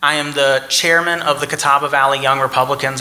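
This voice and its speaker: Over noticeable background noise, a man talks at a fairly quick pace in a monotone, flat delivery. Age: 20s. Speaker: political candidate. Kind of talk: candidate forum speech.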